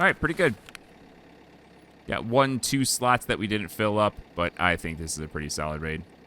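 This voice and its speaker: Loud and fairly low-pitched, a man speaks with a bright, sharp tone. His intonation is lively. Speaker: gaming YouTuber. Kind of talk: gameplay commentary. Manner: casual.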